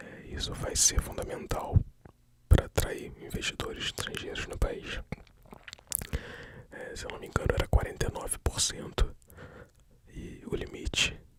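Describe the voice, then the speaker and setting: A whisper at a fairly slow pace, with long, frequent pauses and noticeable background noise. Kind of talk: ASMR news reading. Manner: whispered.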